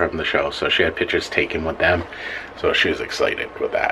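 A man's voice over light background noise. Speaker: vlogger. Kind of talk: casual vlog chat. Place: bathroom. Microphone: phone near.

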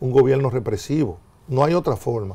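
Somewhat breathy and dark, mellow in tone, a man speaks at a moderate pace with lively intonation. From Dominican Republic. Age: 60s. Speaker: former government minister. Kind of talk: TV interview. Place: studio. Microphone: lapel.

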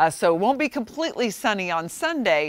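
A woman's warm, upbeat voice with lively intonation at a fairly quick pace, dry with no echo. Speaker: TV weather forecaster. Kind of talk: weather report. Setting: TV studio. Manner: conversational, warm and upbeat, with a smooth, steady forecasting pace. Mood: friendly, upbeat. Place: studio.

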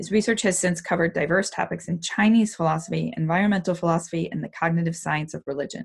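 A woman speaks very fast in a fairly low voice. Vocal fry runs through her speech. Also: quiet background. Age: 30s. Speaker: podcast host. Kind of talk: interview. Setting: home recording studio. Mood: enthusiastic, curious.

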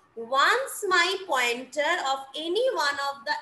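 A woman's raised, projected voice rings out high and with a bright, sharp tone, carrying audible room echo. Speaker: college lecturer. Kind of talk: lecture.

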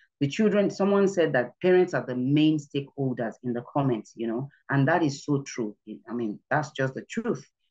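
Against a quiet background, the words come at a moderate tempo. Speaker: church children's ministry trainer. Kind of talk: presentation talk to a breakout group. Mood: earnest, instructive. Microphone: video call.

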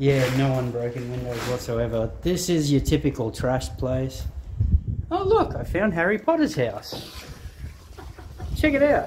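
At a fairly slow pace, with long, frequent pauses, the speech comes through noticeable background noise. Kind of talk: casual vlog chat. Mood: joking, curious. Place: empty room. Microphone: phone near.

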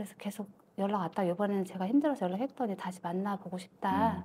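A woman speaks in a dark, mellow, somewhat breathy tone with fairly even intonation. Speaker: fortune-telling client. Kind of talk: consultation.

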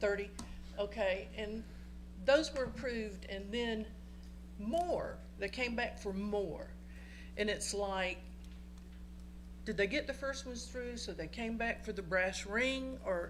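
In a room with audible echo, a woman speaks at a fairly slow pace, leaving long, frequent pauses. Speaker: resident speaking at public comment. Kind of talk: public comment at council meeting. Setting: council chamber. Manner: loud.

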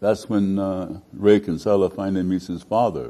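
A man with an American accent speaks in a very deep, low voice with a dark, mellow tone. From United States. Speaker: actor. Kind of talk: interview answer. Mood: warm, reminiscing, animated. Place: studio. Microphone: lapel.

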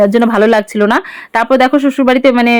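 The sound is dry and close with no echo as a woman speaks at a fairly high pitch. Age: 20s. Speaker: lifestyle vlogger. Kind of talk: casual vlog narration. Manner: chatty, warm.

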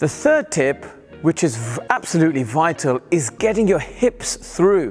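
A man's high-pitched voice over faint music in the background. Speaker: cricket coach. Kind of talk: tutorial. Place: hall. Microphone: lapel.

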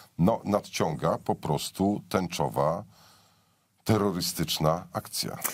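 A man speaks very slowly with vocal fry in a very deep, low voice, his pitch varying in an ordinary way over a quiet background. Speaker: political commentator. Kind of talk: political commentary chat. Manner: sarcastic. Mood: sardonic, ironic. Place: studio.

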